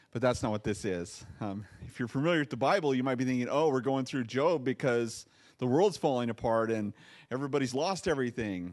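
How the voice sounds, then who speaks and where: A man talks at a fairly quick pace, and the background stays quiet. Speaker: pastor. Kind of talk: sermon. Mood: light, joking. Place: church. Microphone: handheld.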